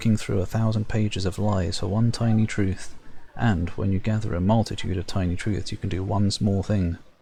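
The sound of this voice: Here, someone reads in an unforced reading voice.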